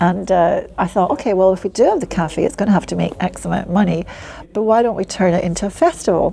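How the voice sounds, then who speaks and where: A woman with a Scottish accent speaks at a fairly quick pace against noticeable background noise. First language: Polish. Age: 60s. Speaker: community ambassador. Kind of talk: interview.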